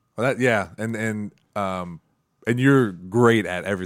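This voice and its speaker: Recorded very cleanly with a silent background, a man talks at a moderate pace with ordinary pitch variation. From US Midwest, northwest Ohio. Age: 30s. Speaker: podcast host. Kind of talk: casual interview. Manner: hesitant, many fillers.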